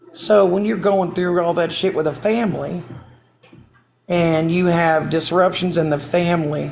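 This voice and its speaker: Audible room echo surrounds a woman whose voice is fairly low in pitch. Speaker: TikTok livestreamer. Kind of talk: casual live stream chat. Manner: rambling with fillers; heated.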